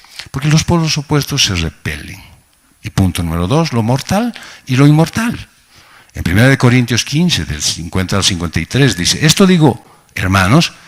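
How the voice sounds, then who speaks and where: A man's medium-pitched voice with very wide swings in pitch. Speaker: pastor. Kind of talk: sermon. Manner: slow, sometimes halting.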